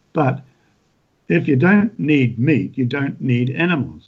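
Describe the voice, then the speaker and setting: Somewhat breathy and at medium pitch, a man in a New Zealand accent talks at a fairly slow pace. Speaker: retired farmer and author. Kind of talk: casual interview.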